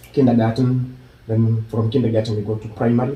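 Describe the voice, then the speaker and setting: At a fairly quick pace, a man with a Kenyan accent speaks at a medium pitch with fairly even intonation. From Kenya (Nyamira County, later Nairobi). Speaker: YouTuber. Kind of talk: vlog intro; interview.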